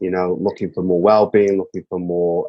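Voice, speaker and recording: A man's dark, mellow voice with a British accent, fairly quick in pace, in a dry, close sound with no echo. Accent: English (UK). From northern England, Manchester. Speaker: songwriter and mental health advocate. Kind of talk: podcast interview. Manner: hesitant, with filler words.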